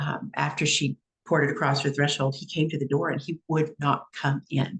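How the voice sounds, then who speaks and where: Recorded dry and close with no echo, a woman speaks in a very deep, low voice that is somewhat breathy, with ordinary pitch variation. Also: moderate pace. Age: 60s. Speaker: psychic medium and coach hosting a live event. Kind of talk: casual chat.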